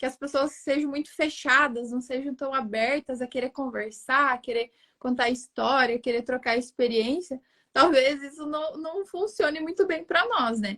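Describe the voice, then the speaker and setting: A woman's high-pitched voice with a southern Brazilian accent, ordinary pitch variation and a moderate pace. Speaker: digital marketing strategist. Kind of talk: interview conversation.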